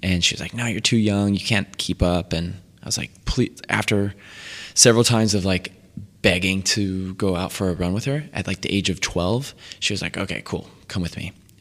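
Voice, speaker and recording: A man's fairly low pitch in a normal speaking voice, moderate in pace and fairly even in intonation, over a very clean recording with a silent background. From Connecticut, Waterbury. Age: 20s. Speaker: vegan chef. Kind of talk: casual chat.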